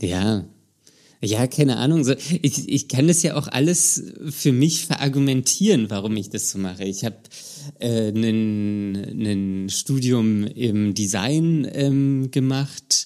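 At a very slow pace, a man with a dark, mellow tone and medium pitch speaks with lively intonation. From Germany, Berlin. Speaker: podcast host. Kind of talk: casual chat.

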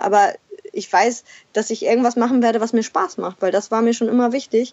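A woman with a fairly high pitch and a normal speaking voice talks at a moderate pace. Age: 30s. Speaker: former cruise industry manager, mother living in a van. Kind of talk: interview.

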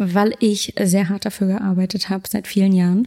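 This woman has a dark, mellow tone and a medium pitch, somewhat breathy. Her intonation stays monotone and flat. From Berlin, Germany. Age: 20s. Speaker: food photographer. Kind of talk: casual interview.

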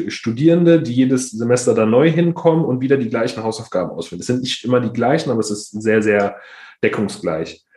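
A man's dark, mellow voice at a fairly quick pace. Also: medium pitch for a man, lively intonation. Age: 20s. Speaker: startup founder, resilience trainer. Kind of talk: podcast interview. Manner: halting, many fillers.

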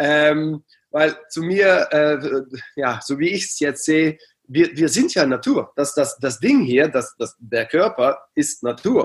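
This man speaks at a very slow pace in a fairly high voice with ordinary pitch variation. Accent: Dutch. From Netherlands, near Aachen. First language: Dutch (speaking German). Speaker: coach and psychologist. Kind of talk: interview. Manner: halting.

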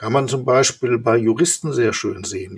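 Medium-pitched male voice with vocal fry. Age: 60s. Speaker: company executive. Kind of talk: interview. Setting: video call.

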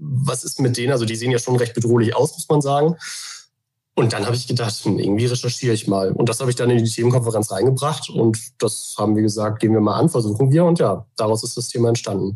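A man speaks very fast in a dark, mellow tone that is somewhat breathy, with ordinary pitch variation. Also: medium pitch for a man. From Germany, Hamburg. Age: 30s. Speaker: journalist. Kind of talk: interview.

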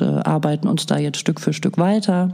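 A woman with a fairly low pitch speaks at a moderate pace over noticeable background noise. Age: 50s. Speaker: daycare centre director. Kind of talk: interview.

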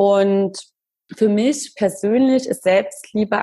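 The voice is somewhat breathy and dark, mellow in tone, moving at a very slow pace. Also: woman. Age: 30s. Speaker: blogger. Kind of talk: interview.

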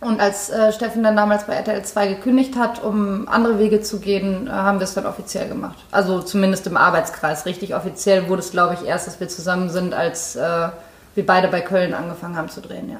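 A woman's medium-pitched voice at a very fast pace, fairly even intonation and big swings in loudness, over noticeable background noise. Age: 30s. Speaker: actress. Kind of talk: casual chat. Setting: in-person recording.

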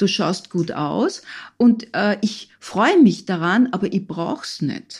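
A somewhat breathy woman talks at a fairly slow pace. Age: 60s. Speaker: physician and psychotherapist, author. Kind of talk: interview. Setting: studio.

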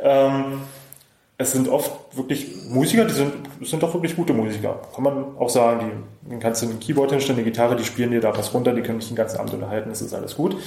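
Words come at a very fast pace, with audible room echo around them. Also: man, medium pitch for a man, ordinary pitch variation. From Brandenburg, eastern Germany (Cottbus). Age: 30s. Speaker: wedding DJ and musician. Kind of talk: casual interview.

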